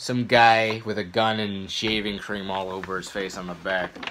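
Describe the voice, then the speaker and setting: A man's fairly slow speech comes through light background noise. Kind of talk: casual vlog chat. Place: home room. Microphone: phone near.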